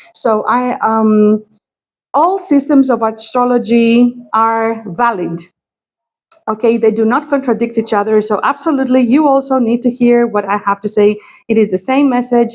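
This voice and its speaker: A woman's fairly high voice with a Greek accent, moderate pace, ordinary pitch variation and very even loudness. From Greece. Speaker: astrologer and tarot reader. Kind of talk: astrology forecast talk to camera. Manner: hesitant, many fillers.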